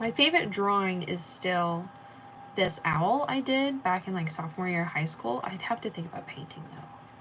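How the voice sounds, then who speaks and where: A woman's voice with big swings in loudness over noticeable background noise. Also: medium pitch for a woman, lively intonation, moderate pace. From United States. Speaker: artist streamer. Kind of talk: casual chat. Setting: live stream. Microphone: echo.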